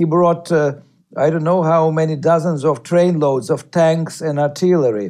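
A man with a Russian accent and a dark, mellow tone speaks at a moderate pace in a fairly high pitch, his intonation fairly even and his loudness very even. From Ukraine. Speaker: novelist and journalist. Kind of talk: radio interview.

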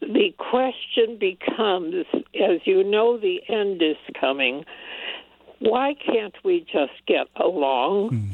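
Pitch swings very widely while the loudness stays very even, all at a very slow pace. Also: woman, medium pitch for a woman. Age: 80s+. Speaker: caller. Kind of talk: call-in comment. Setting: phone call.

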